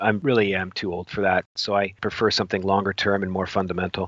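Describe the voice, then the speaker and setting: An unremarkable speaking voice goes along at a fairly quick pace. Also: man. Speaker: professional trader. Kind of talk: interview. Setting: remote call.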